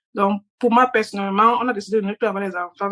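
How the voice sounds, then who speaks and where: In a non-native accent, a woman speaks with fairly high pitch in a dry, close sound with no echo. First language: not French (speaking French). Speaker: participant, mother. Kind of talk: casual group discussion. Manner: hesitant.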